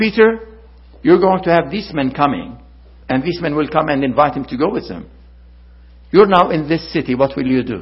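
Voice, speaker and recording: A man with a fairly high pitch and vocal fry speaks at a moderate pace. He leaves long, frequent pauses. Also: lively intonation. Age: 60s. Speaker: visiting preacher. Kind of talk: sermon.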